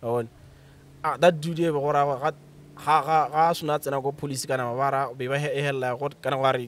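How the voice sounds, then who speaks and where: The speech is fairly quick and monotone, with flat intonation and a dry sound with no echo. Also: man, fairly high pitch for a man. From Botswana, Bobonong; Botswana. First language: Setswana. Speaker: author and creative writer; podcast guest. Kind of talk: casual chat. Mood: relaxed, laughing at times. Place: garden. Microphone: studio mic.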